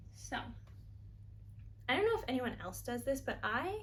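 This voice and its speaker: A woman's voice with an American accent, audible room echo and noticeable background noise. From New York. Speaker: knitting vlogger. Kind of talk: casual chat. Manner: fast.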